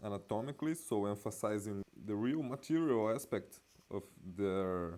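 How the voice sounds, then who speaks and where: A man speaks at a moderate pace. His fairly low voice has a dark, mellow tone. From Brazil. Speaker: art and symbolism video essayist. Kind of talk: illustrated talk. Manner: halting.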